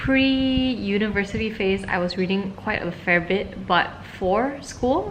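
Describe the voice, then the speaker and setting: Audible room echo surrounds a woman's voice. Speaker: vlogger. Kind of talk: casual vlog talk to camera.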